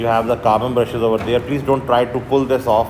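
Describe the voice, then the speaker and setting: Audible room echo and noticeable background noise surround a man who speaks with a Pakistani accent and fairly even intonation. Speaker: university lecturer. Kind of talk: lecture. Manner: halting, many fillers.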